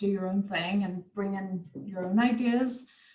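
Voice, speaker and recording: A woman speaks with an American accent and ordinary pitch variation. Noticeable background noise sits under her voice. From United States. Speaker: craft tutor. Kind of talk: online craft workshop chat.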